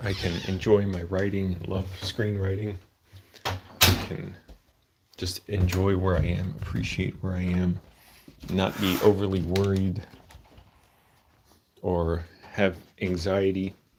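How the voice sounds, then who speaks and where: With an American accent, a man speaks at a very slow pace in a very deep, low, somewhat breathy voice, his intonation monotone and flat, leaving long, frequent pauses. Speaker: vlogger and screenwriter. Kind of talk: casual live vlog monologue. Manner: rambling, conversational.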